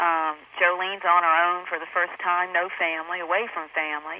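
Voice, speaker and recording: The speaker is a woman. She talks with a Southern accent. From US South. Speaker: actress. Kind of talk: interview. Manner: halting.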